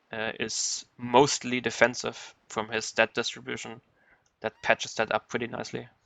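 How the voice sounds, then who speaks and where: A man with a German accent talks at a moderate pace in a medium pitch, his delivery monotone and flat with vocal fry. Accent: German accent, noticeable. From Germany. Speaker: video game streamer. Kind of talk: live gameplay commentary. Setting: live stream.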